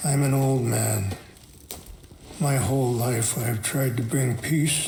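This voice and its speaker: In a raspy, put-on character voice, a man talks at a fairly slow pace with medium pitch and fairly even intonation, with clear background noise behind him. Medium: video game. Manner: soft-spoken, measured.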